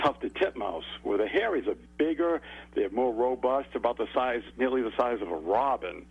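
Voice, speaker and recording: A man in a Massachusetts accent talks at a moderate pace. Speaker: bird expert. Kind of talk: radio interview.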